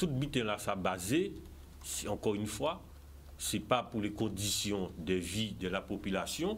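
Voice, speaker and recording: A man with a Guadeloupean accent speaks at a fairly slow pace with a fairly low pitch. His intonation is lively, and he takes long, frequent pauses. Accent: Guadeloupean French with Creole. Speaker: political candidate. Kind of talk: TV interview. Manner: animated.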